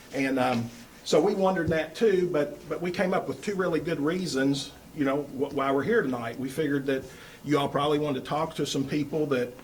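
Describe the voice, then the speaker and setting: Over noticeable background noise and audible room echo, a man with a Kentucky accent and fairly high pitch talks at a fairly quick pace with ordinary pitch variation. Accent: Kentucky Southern. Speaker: architect presenting to school board. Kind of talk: presentation pitch. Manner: loud; hesitant fillers.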